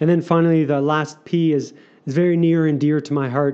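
A man talks at a moderate pace with a fairly high pitch. He has a normal speaking voice and fairly even intonation. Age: 40s. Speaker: author and circus performer. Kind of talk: casual interview chat.

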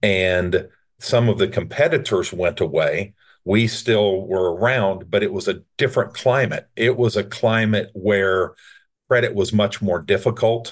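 Against a quiet background, a man with a plain, everyday voice speaks at a fairly slow pace in a fairly low pitch, with ordinary pitch variation and very even loudness. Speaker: entrepreneur. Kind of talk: interview, casual chat.

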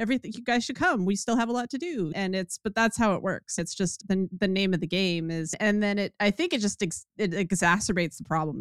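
A woman speaks in a plain, everyday voice at medium pitch with ordinary pitch variation. The sound is dry and close with no echo, and the recording is very clean with a silent background. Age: 50s. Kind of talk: casual chat. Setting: livestream.

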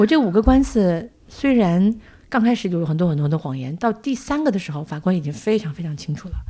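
A woman with a dark, mellow tone and medium pitch speaks somewhat breathily at a fairly quick pace, her pitch swinging very widely. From Northeast China. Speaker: podcast host, publisher. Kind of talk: casual interview chat.

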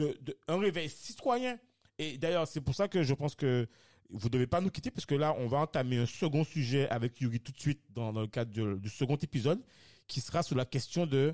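In a plain, everyday voice, a man with fairly high pitch and lively intonation talks at a moderate pace, the recording very clean with a silent background and a dry, close sound with no echo. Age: 30s. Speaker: podcast host. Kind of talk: casual discussion.

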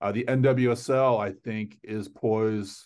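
Against a quiet background, a man with an unremarkable speaking voice and an American accent talks at a fairly low pitch with fairly even intonation. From US, South Florida (Fort Lauderdale). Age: 50s. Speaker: soccer journalist. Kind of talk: interview.

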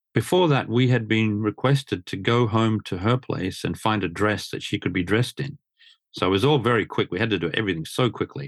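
A man speaks with an Australian accent at medium pitch. His pace is fairly quick, with ordinary pitch variation. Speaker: motor journalist. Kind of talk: coaching conversation.

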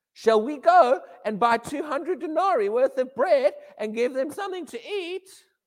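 In a put-on character voice, a woman sounds whiny at a high pitch, moving at a moderate pace. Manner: whingy, whiny.

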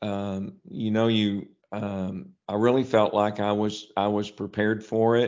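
A man speaks at a fairly slow pace with an Arkansas accent. His pitch is fairly low and his intonation is monotone and flat. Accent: Southern US (Arkansas). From US South, small town in northeast Arkansas. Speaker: grocery chain executive. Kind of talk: interview. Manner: halting, many repeated words and fillers.

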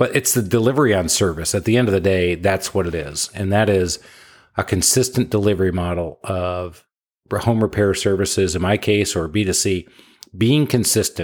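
In a very clean recording with a silent background, a man with an American accent and a plain, everyday voice speaks at a fairly low pitch and a moderate pace with ordinary pitch variation. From Michigan. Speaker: home repair business owner. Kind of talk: interview.

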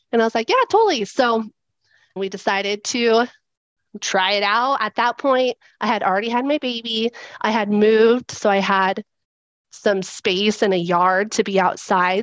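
An unremarkable speaking voice shows ordinary pitch variation. The sound is dry and close with no echo, over a quiet background. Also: woman. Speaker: stay-at-home mom. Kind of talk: casual chat.

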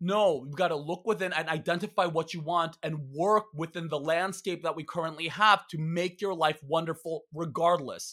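Bright and sharp, a man's voice sits high in pitch with an animated tone. He barely pauses. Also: moderate pace, very clean recording, silent background. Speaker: comedian and author. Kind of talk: casual chat. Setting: stage with audience. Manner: loud.

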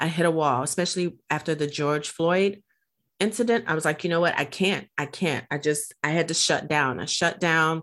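A woman with a plain, everyday voice and fairly low pitch talks with ordinary pitch variation on a very clean recording with a silent background. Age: 50s. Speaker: podcast host and coach. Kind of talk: interview conversation. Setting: virtual studio. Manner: excitable.

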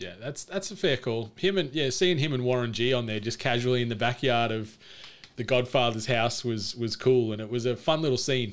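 A man at medium pitch with an Australian accent, ordinary pitch variation and a fairly quick pace. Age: 30s. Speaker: podcaster. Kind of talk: casual chat.

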